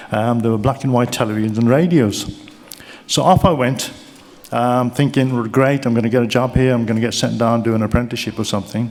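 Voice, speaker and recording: A man with a Birmingham accent, medium pitch and a very fast pace, over noticeable background noise. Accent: Brummie. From Birmingham, England. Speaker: keynote speaker. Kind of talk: motivational speech. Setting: stage with audience. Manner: animated.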